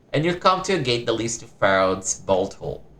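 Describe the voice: A plain reading aloud.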